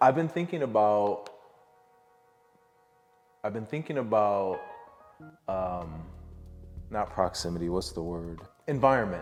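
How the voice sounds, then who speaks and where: A man with an American accent speaks at a fairly low pitch and a fairly slow pace, his tone relaxed and his pitch swinging very widely. He takes long, frequent pauses, with music in the background. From upstate New York. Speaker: visual artist. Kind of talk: casual talk to camera. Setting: studio. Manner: relaxed, rambling.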